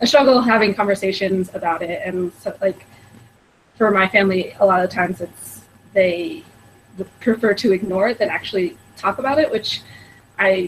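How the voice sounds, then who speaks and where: A woman with a General American accent speaks in a plain, everyday voice, at medium pitch and a moderate pace with ordinary pitch variation. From Colorado, US. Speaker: panelist. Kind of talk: panel discussion.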